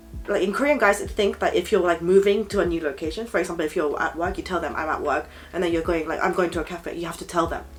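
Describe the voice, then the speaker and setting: Over music in the background, a woman speaks at a very fast pace with hardly any pauses. Her pitch is fairly low, with ordinary variation. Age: 20s. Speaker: guest. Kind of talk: casual chat.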